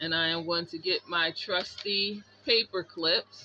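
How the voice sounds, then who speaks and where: A woman's medium-pitched voice with ordinary pitch variation, music playing in the background. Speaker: craft tutorial youtuber. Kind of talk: tutorial. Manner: loud; animated.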